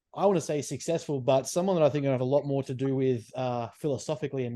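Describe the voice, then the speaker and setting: A man talks at a very fast pace in an Australian accent. His pitch is medium and his tone dark and mellow. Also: quiet background. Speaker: podcast host. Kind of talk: podcast interview.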